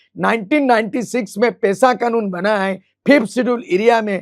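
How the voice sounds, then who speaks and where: This man's voice is high in pitch and varies in an ordinary way. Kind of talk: podcast interview. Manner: animated.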